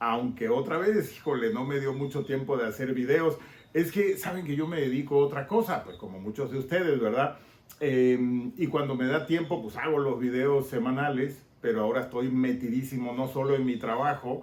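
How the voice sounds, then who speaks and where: A man with a Tabasco accent, medium-pitched, at a moderate pace with ordinary pitch variation, over noticeable background noise. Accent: Tabasco Mexican. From Mexico, Tabasco (Villahermosa). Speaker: political commentator and YouTuber. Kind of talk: casual political podcast monologue.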